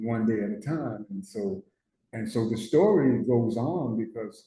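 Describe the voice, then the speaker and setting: This man has a dark, mellow tone and a medium pitch, speaking with an American accent. His pitch varies in an ordinary way, and his voice is somewhat breathy. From Newark, New Jersey. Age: 70s. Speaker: person in recovery, war veteran. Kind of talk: testimony. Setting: studio. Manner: halting, repetitive.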